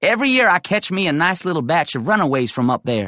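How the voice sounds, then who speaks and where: A man puts on a growling character voice in a Southern accent, high-pitched with very wide pitch swings. He talks at a very fast pace. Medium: read story. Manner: menacing, even-voiced.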